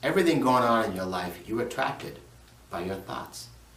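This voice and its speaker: Over audible room echo, a man talks at a moderate pace with lively intonation and a medium pitch. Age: 50s. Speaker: motivational speaker. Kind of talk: motivational talk.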